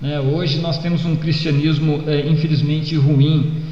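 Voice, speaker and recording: Noticeable background noise and audible room echo around a man's fairly high-pitched speech. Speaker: pastor. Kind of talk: sermon. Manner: hesitant fillers.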